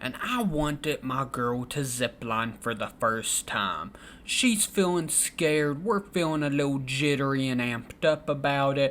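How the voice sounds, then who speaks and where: Speaking in a Southern US accent, the voice moves at a fairly slow pace with hardly any pauses. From Kentucky. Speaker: storytelling vlogger. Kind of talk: casual storytelling. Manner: animated.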